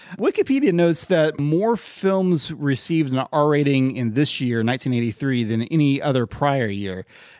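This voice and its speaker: Speaking in a plain, everyday voice, a man with a fairly high pitch and lively intonation keeps a moderate pace with hardly any pauses. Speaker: podcast co-host. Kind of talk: casual chat about movies.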